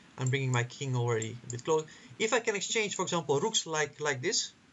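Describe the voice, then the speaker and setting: A man's voice with very wide pitch swings at a fairly quick pace. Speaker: chess commentator. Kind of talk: chess analysis commentary. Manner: halting, many repetitions.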